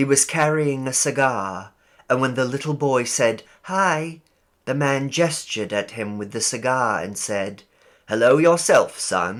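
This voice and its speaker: The recording is very clean, with a silent background. A man talks at a fairly slow pace with lively intonation. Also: medium pitch for a man. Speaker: audiobook narrator. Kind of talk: short story audiobook reading.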